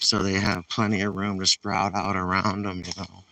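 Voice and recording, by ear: In a New England accent, a man speaks with a low pitch, a bright, sharp tone and little pitch movement. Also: moderate pace.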